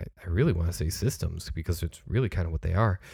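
In a very clean recording with a silent background, a man talks with a very deep, low pitch and a somewhat breathy sound. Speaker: podcast co-host. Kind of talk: casual chat.

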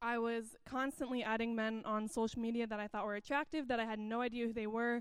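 A woman talks at a fairly quick pace. Her fairly high voice is monotone, with flat intonation. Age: 20s. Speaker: church member sharing testimony. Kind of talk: testimony.

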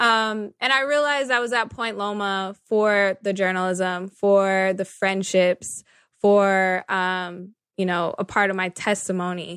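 A woman with an American accent talks at a fairly slow pace, in a normal speaking voice. Her intonation is fairly even, and the background is quiet. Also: medium pitch for a woman. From Northern California. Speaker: journalist and media manager. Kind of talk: interview.

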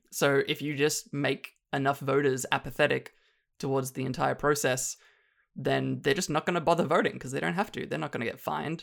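A fairly quick pace in a strong Australian accent, on a very clean recording with a silent background. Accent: Australian, still strong. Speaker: film dialogue editor. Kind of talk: casual chat.

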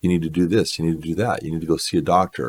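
Fairly quick speech from a man, very deep and low in pitch, with vocal fry. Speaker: religious podcast host. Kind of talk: monologue.

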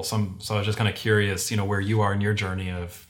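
A man talks very fast at a fairly low pitch in an American accent. His voice is somewhat breathy. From Venezuela (Caracas), then various US cities. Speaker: video production agency owner. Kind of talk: casual interview chat. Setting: video call.

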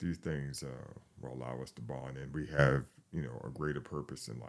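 This man has a very deep, low pitch with vocal fry and a New York accent. His intonation stays monotone and flat. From New York, the Bronx. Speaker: firefighter. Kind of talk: interview. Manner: halting.

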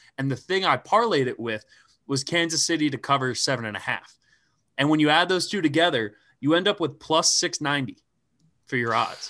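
A man with an American accent speaks in a bright, sharp tone at a fairly high pitch, with lively intonation. He leaves long, frequent pauses, and the recording is very clean with a silent background. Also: fairly quick pace. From suburban Philadelphia. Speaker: podcast host. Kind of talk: casual chat.

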